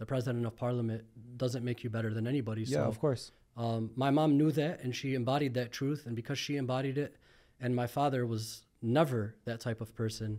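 Against a quiet background, a man talks at a fairly quick pace with a dark, mellow tone and fairly even intonation. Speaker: podcast guest. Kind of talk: interview answer. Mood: reflective, calm. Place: studio. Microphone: studio mic.

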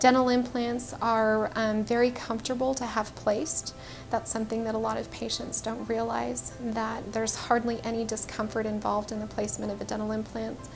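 A woman at a fairly quick pace with hardly any pauses, clear music in the background. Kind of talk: promotional talk to camera. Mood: warm, reassuring. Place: office. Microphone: lapel.

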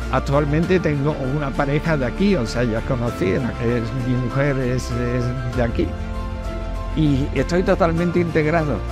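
A man at a fairly slow pace with long, frequent pauses, dry sound with no echo, and clear music in the background. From Andalusia, Spain. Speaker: painter. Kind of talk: interview answer. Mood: warm, grateful. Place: street. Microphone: lapel.

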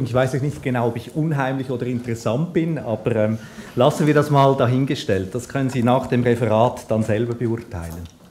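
A man at a fairly quick pace with few pauses and a slightly mellow tone

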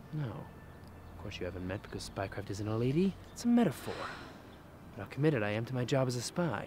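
Light background noise sits under a man speaking at a fairly quick pace, the sound dry with no echo. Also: lively intonation. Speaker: actor playing a suave spy. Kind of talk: scripted comedy dialogue. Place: garden.

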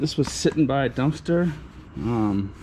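Amid noticeable background noise, a man speaks at a fairly slow pace. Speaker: scavenging vlogger. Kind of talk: casual vlog chat. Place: street. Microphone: phone near.

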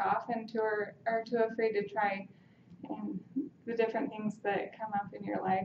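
A woman speaks at a moderate pace in a somewhat breathy voice. There is audible room echo and light background noise. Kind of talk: impromptu persuasive speech. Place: classroom. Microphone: camera far.

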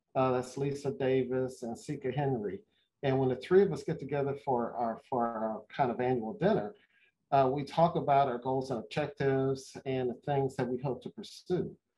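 Ordinary pitch variation marks this man's speech. He goes at a moderate pace. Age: 60s. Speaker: marathon runner and executive; interview guest. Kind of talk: interview. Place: home room. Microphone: video call.

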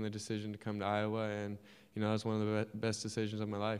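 A man speaks with fairly low pitch. His intonation is monotone and flat.

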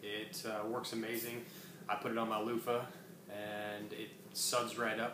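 A man talks at a fairly slow pace. His intonation stays fairly even over noticeable background noise. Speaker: co-presenter, essential oils distributor; presenter. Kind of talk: educational class presentation. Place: home room. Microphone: camera far.

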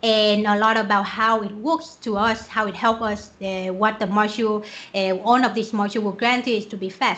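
Bright and sharp in tone, this voice moves at a moderate pace with a Vietnamese accent. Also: woman. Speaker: software developer; conference speaker. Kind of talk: conference talk. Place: home room. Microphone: webcam.

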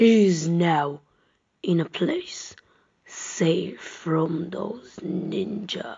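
A woman's fairly low-pitched voice at a very slow pace

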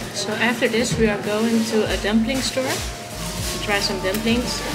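Loud music in the background behind a woman speaking at a fairly slow pace. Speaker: food vlogger. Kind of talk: casual vlog chat. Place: cafe.

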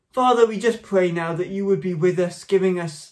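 A man's high-pitched voice over a quiet background. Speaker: church minister. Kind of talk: prayer and church announcements. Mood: calm, earnest. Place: home room. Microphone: phone near.

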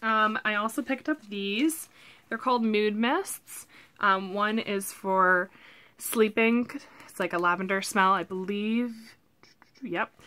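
Speaking at a very slow pace with long, frequent pauses, a woman uses a bright, sharp tone and ordinary pitch variation. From Canada. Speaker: lifestyle vlogger. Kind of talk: haul video, casual talk to camera. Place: home room. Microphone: webcam.

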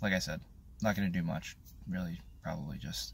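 Vocal fry comes through over light background noise. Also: man. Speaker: fitness vlogger. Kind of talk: casual vlog chat. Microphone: phone near.

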